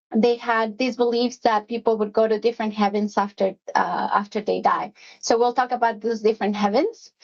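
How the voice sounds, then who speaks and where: With a Spanish accent, a woman speaks at a fairly quick pace with hardly any pauses, her fairly high voice monotone and flat and her loudness very even. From Mexico City, moved to US at fifteen. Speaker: executive assistant. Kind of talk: workplace presentation. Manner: hesitant, many fillers.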